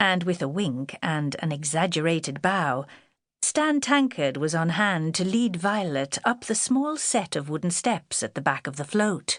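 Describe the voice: A woman speaks at a fairly slow pace in a fairly low pitch, with lively intonation. The recording is very clean, with a silent background.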